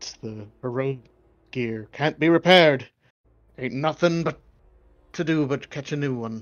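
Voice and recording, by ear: A man speaks in a put-on character voice at a medium pitch and a moderate pace. He leaves long, frequent pauses.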